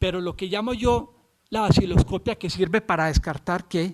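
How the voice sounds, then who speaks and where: Here is a man with a Colombian accent. He speaks with a high pitch. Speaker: physician lecturer. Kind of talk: lecture. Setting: videoconference. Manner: halting, many fillers and restarts.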